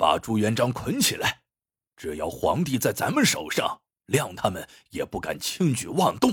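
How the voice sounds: In a put-on character voice, a man with fairly low pitch, a husky, rough edge and a fairly bright tone makes very wide pitch swings at a moderate pace in a very clean recording with a silent background.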